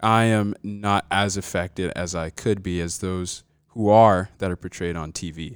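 A man's very deep, low voice with an American accent and fairly even intonation, in a very clean, dry, close recording with a silent background and no echo. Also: fairly slow pace. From US South, South Georgia. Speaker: college student. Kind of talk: casual chat.

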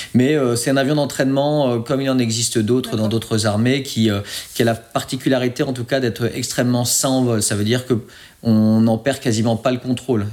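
Delivered at a fairly quick pace, the speech has fairly even intonation in a normal speaking voice. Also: man. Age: 30s. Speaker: air force fighter pilot. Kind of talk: interview.

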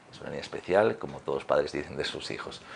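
A man is heard with noticeable background noise. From Galicia, Spain. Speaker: fitness trainer and former handball player. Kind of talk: interview.

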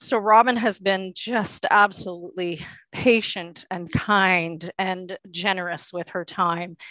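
Against a quiet background, the voice has a bright, sharp tone and moves at a very slow pace, with a dry, close sound and no echo. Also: woman, medium pitch for a woman. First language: French. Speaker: adult education program coordinator. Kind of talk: podcast interview.

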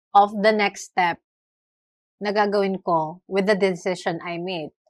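A woman's medium-pitched voice at a very slow pace, on a very clean recording with a silent background. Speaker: podcast co-host. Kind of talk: casual chat.

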